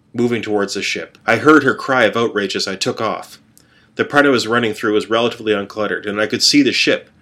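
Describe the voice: Pitch variation stays ordinary. The delivery is plain reading aloud.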